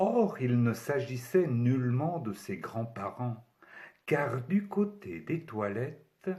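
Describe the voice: The speaker is plainly reading aloud, with lively intonation.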